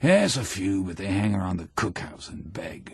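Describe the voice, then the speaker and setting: A man's raspy put-on character voice, fairly low in pitch, at a moderate pace with big swings in loudness. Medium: read story. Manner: scornful, worldly.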